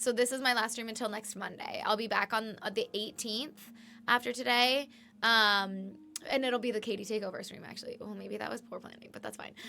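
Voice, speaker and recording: A woman speaks at a fairly quick pace in a fairly high pitch, her intonation monotone and flat. Her loudness swings widely, and music plays in the background. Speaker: streamer. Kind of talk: casual chat. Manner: lower energy.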